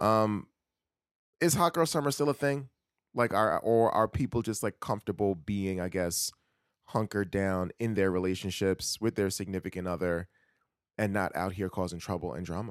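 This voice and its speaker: With a New York accent, a man speaks at a moderate pace and a fairly low pitch with ordinary variation. The sound is dry and close with no echo. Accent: New York City. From New York City (Queens). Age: 30s. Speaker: podcast co-host. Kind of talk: casual chat. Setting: remote recording from home.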